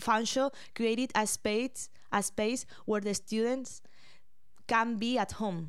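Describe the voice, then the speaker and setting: A woman talks at a very slow pace, with long, frequent pauses. Her pitch is fairly high and her intonation fairly even. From Spain. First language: Spanish. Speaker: podcast host, college student. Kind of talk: casual chat. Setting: studio.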